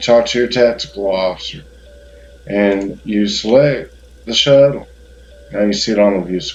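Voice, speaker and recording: A fairly low-pitched man with a Southern US accent, ordinary pitch variation and long, frequent pauses. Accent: southern drawl. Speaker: gaming YouTuber. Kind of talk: game tutorial. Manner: hesitant, filler-heavy.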